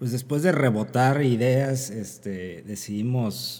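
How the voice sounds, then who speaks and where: The speech comes at a fairly slow pace in a very clean recording with a silent background. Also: man. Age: 30s. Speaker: physician, internist and nephrologist podcast host. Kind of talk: casual chat. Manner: halting with frequent fillers.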